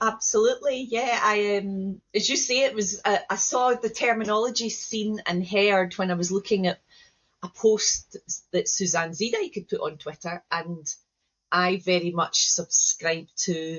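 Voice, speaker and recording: Speaking in a Scottish accent at a fairly slow pace, this voice shows ordinary pitch variation. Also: woman, medium pitch for a woman. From Scotland, Glasgow. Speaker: educator and trainer. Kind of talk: interview conversation.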